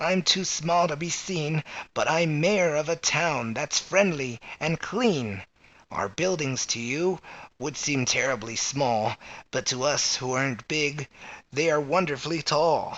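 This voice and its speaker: A man puts on a character voice at a fairly high pitch. He delivers it at a fairly slow pace. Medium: read story.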